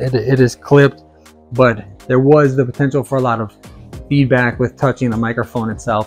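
Faint music plays in the background as a man talks at a fairly quick pace with fairly even intonation. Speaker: product reviewer. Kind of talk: product review demo. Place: home room. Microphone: lapel.

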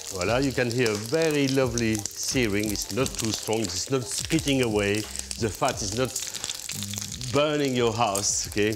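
With noticeable noise behind him, a man speaks at a moderate speed and varies his pitch in an ordinary way. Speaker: TV presenter. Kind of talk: cooking show tutorial. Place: kitchen.

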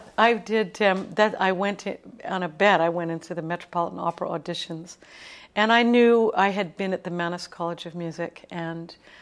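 At a moderate pace, a woman talks at a fairly low pitch. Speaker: guest. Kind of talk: interview answer. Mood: warm, light laughter. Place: studio.

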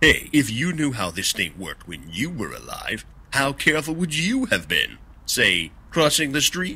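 A man does a cartoonish character voice at a fairly high pitch. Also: moderate pace. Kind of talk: comedic sketch dialogue. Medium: puppet show. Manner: wisecracking, impatient. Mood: jokey, businesslike.

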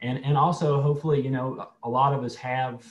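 A man speaks at a moderate pace while light background noise runs underneath. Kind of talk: lecture. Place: home room. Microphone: video call.

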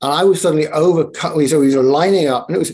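At a very fast pace, a man talks in a dark, mellow tone with ordinary pitch variation. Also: quiet background. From Northumberland, England. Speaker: ritualist, storyteller and life coach. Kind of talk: podcast interview answer. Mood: reflective, calm storytelling. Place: home room. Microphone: video call.

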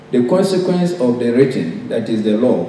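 A man speaks at a moderate pace with lively intonation. Light background noise and audible room echo are present. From Ghana. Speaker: professor. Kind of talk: conference speech. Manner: formal. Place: hall. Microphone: podium.

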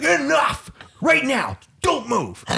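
This is a man doing a put-on character voice. His pitch is extremely high. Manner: stern, commanding.

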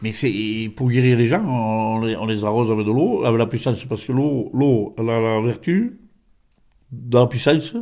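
A man with a dark, mellow tone at a moderate pace, with ordinary pitch variation and a quiet background. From France, Gers; France. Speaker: folk healer; interviewee. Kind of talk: interview; interview answer. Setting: at his home. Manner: halting, many repetitions. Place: home room. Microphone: handheld.

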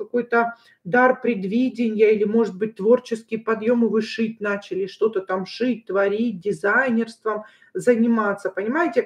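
A woman at a moderate pace against a quiet background. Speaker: tarot reader. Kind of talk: tarot reading livestream talk.

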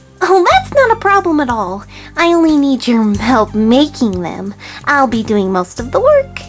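A female-sounding voice uses a put-on character voice at a high pitch and a moderate pace. Music plays clearly in the background. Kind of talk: creepypasta reading. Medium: read story. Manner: bubbly, gleeful.

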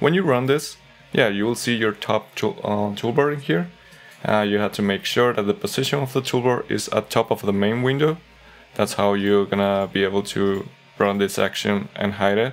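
Faint music plays in the background. A man speaks at a fairly low pitch. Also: ordinary pitch variation, moderate pace. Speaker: software tips creator. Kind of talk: tutorial. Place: home room.

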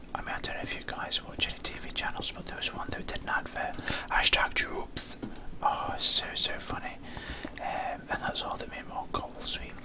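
A man whispers at a fairly quick pace over noticeable background noise. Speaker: Minecraft gamer / YouTuber. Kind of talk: casual talk to camera, gaming commentary. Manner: whispered, slurred, rambling.

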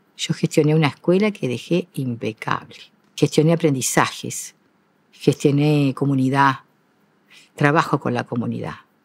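A woman's very deep, low voice with ordinary pitch variation, at a fairly slow pace with long, frequent pauses, in a dry sound with no echo. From Uruguay. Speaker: retired school teacher and principal; retired school teacher. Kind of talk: interview. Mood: calm, reflective, proud. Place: stage. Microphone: lapel.

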